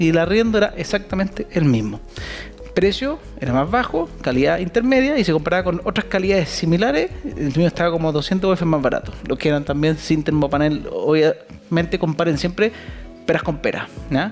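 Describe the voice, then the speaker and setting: With a Chilean accent, a man speaks at a high pitch and fairly quick pace with lively intonation. His loudness stays very even, with music in the background. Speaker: real estate investment speaker. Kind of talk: talk to live audience.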